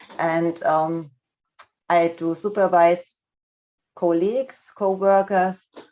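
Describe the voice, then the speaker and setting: Speaking with a non-native accent, a woman with a fairly low pitch moves at a very slow pace, leaving long, frequent pauses, her intonation fairly even. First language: not English. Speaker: speech and language therapist. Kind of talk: lecture. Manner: halting, many fillers.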